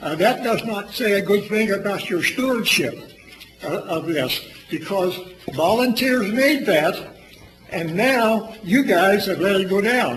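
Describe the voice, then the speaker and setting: Talking fairly slowly, a man uses a high pitch and lively intonation. Noticeable background noise and audible room echo are present. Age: 80s+. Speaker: public commenter at city council meeting. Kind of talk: public comment at council meeting. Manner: loud, intense; halting, repetitive.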